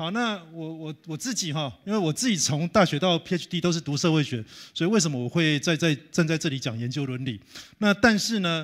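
A man with an unremarkable speaking voice talks at a fairly quick pace and fairly high pitch. His intonation is lively, over a quiet background. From Taiwan. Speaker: professor. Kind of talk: lecture. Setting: conference hall with audience. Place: hall. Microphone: handheld.

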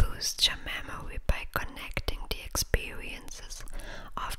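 The speaker whispers. The pace is very slow. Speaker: ASMR reader. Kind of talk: ASMR article reading. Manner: whispered.

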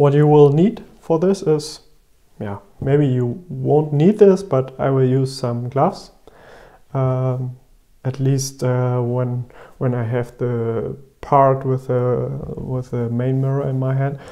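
Against a quiet background, a man speaks very slowly with ordinary pitch variation. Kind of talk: tutorial. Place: home room.

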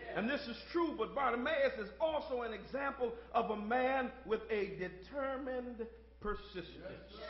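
Loud and animated, a man speaks with an extremely high pitch, with audible room echo and light background noise. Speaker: pastor. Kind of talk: sermon. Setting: church. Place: church. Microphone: podium.

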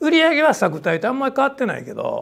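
A man talks at a very fast pace. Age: 60s. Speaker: salon business owner and speaker; speaker. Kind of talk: lecture. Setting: stage with audience. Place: meeting room.

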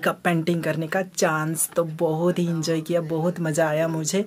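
Music plays in the background as a man with a high pitch speaks at a fairly slow pace. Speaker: vlogger. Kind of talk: casual vlog chat. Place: home room. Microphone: phone near.

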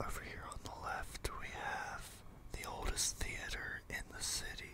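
Noticeable background noise sits under a whisper that moves fairly slowly. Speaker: ASMR roleplay tour guide. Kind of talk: ASMR roleplay carriage tour narration. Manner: soft, relaxing, whispered.

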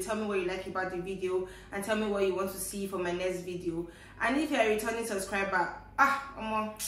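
Fairly quick speech in a Nigerian accent, with ordinary pitch variation and audible room echo. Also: woman. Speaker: vlogger. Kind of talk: casual talk to camera. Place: home room. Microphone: camera far.

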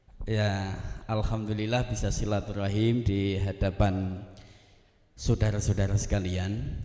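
A man's fairly low, monotone voice at a fairly slow pace, with flat intonation, a quiet background and audible room echo. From South Sumatra (Javanese transmigrant area). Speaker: Islamic preacher. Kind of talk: panel talk. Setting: hall with audience. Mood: cheerful, joking. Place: hall. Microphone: handheld.

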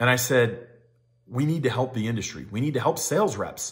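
Against a quiet background, a somewhat breathy man talks at a fairly quick pace. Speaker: equipment rental sales trainer. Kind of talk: casual vlog chat. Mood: earnest, grateful storytelling. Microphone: phone near.

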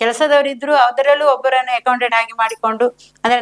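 A woman's high-pitched voice carries fairly even intonation. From India, Karnataka, Shivamogga district (Hosanagar). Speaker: home food business owner, self-help group member. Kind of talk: interview. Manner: halting.

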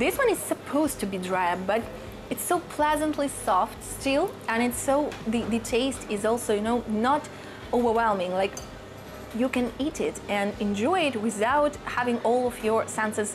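Faint music sits in the background as a woman talks at a moderate pace. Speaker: food vlogger. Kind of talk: casual vlog chat. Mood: enthusiastic, delighted. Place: shop. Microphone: lapel.

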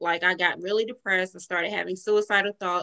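A woman's bright, sharp voice with a Southern US accent, against a quiet background. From US South, rural North Carolina. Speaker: entrepreneur and life coach. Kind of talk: interview. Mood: earnest, reflective. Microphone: video call.

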